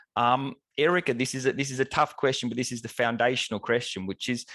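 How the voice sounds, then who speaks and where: Against a quiet background, a man with an Australian accent is recorded with a dry, close sound and no echo. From Australia, Melbourne. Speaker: professor and webinar moderator. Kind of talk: webinar moderation. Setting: online event.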